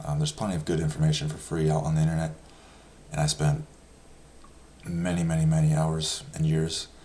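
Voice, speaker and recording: Soft-spoken and monotone, a man with a very deep, low pitch talks at a fairly quick pace, broken by long, frequent pauses. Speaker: personal finance youtuber. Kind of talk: casual explainer talk. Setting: home. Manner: halting with many fillers.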